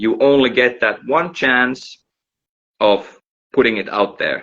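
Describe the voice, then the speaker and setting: This man speaks with a Finnish accent. His pace is very slow. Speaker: musician. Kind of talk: casual chat. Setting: livestream video call.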